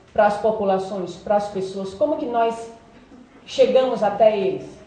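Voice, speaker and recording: Against noticeable background noise and audible room echo, a woman talks at a fairly high pitch. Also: ordinary pitch variation, moderate pace. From Brazil, Ceará (Fortaleza). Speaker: psychologist, doctoral student. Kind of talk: seminary summary talk.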